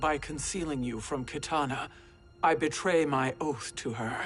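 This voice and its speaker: A put-on character voice at a low-to-middle pitch moves at a moderate pace over clear background music. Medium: video game. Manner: proud, formal.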